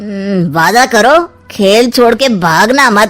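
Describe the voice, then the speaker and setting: A woman does a cartoonish character voice, fairly high in pitch, with lively intonation at a very slow pace. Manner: sly, insinuating.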